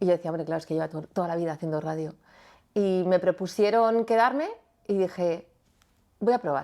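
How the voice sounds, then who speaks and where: A woman speaks at a medium pitch with ordinary pitch variation on a very clean recording with a silent background. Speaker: radio presenter. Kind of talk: interview conversation. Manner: spontaneous, natural delivery.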